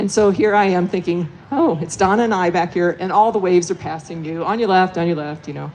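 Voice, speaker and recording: A woman talks at a very fast pace with hardly any pauses, her fairly low voice showing ordinary pitch variation. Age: 60s. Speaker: veteran mountain runner, former overall race winner. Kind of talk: live panel discussion, personal story. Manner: hesitant, many fillers.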